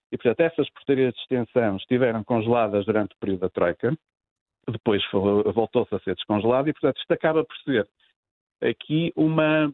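Using lively intonation and a medium pitch, a man speaks at a fairly quick pace broken by long, frequent pauses. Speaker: economist, labour specialist. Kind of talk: radio interview.

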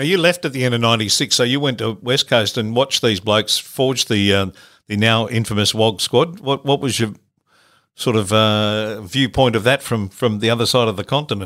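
In a very clean recording with a silent background, a man with an Australian accent speaks at a moderate pace, medium pitch and ordinary pitch variation. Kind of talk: casual interview.

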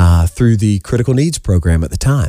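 A man with a Southern US accent, fairly low in pitch and dark, mellow in tone, in a very clean, dry, close recording with no echo and a silent background. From South Carolina, Summerville. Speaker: education technology sales executive. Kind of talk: radio interview.

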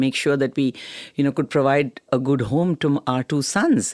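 On a very clean recording with a silent background, a woman speaks at a fairly quick pace in a very deep, low pitch, her tone confident, warm, dark and mellow. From Delhi, India. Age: 70s. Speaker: cancer care advocate, first-time actor. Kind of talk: casual interview chat. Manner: confident, warm, humorous.

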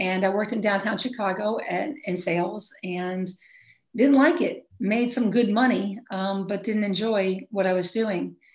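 In an American accent, a woman speaks at a fairly slow pace. Her medium-pitched voice is somewhat breathy. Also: ordinary pitch variation. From Maine, US. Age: 50s. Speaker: basketball coach. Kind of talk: interview. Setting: call.

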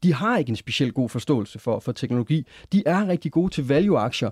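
A man's fairly high voice, dark and mellow, at a very fast pace with lively intonation, dry and close with no echo, on a very clean recording with a silent background. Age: 30s. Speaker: tech investor and engineer. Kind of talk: studio discussion. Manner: halting, frequent repeated words.

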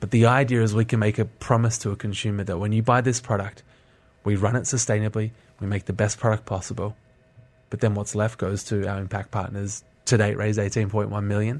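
In a very clean recording with a silent background, a man with an Australian accent speaks very fast in a flat monotone at a fairly low pitch. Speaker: social entrepreneur. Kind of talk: radio interview. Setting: studio.

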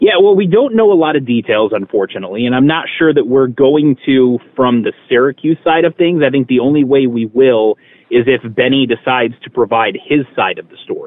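The man has a normal speaking voice with lively intonation. He moves along at a fairly quick pace. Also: medium pitch for a man, big swings in loudness. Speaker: sports reporter guest. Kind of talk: radio interview, casual sports talk.

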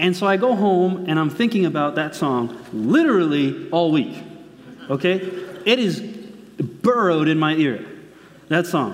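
Fairly slow delivery at very even loudness, with audible room echo and noticeable background noise. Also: man, high pitch for a man, lively intonation. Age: 20s. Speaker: preacher. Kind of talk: sermon. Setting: church.

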